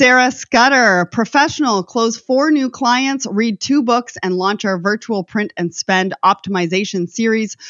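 Speaking at a fairly slow pace with hardly any pauses, a woman uses a plain, everyday voice, fairly high in pitch with ordinary variation. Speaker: podcast host. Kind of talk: scripted intro and interview.

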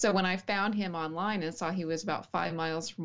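With an American accent, a woman talks fairly quickly in a normal speaking voice. Her pitch is fairly low, with ordinary variation. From West Texas, small town. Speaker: writer and martial artist. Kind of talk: casual interview chat.

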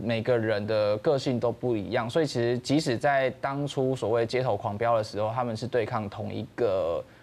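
A man talks at a moderate pace and a medium pitch, with hardly any pauses. He has a plain, everyday voice and ordinary pitch variation. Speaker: documentary director. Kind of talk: interview.

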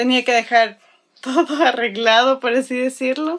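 A woman's unremarkable speaking voice, fairly high and fairly slow, with ordinary pitch variation, in a very clean recording with a silent background. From Ecuador, Quito. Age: 20s. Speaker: religious volunteer. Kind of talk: testimony.

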